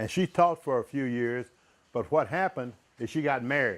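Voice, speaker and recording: A man with a Midwestern American accent, medium in pitch, with lively intonation. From US Midwest, southern Illinois (Centralia). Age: 70s. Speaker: retired airline pilot, school speaker. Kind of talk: motivational talk to students.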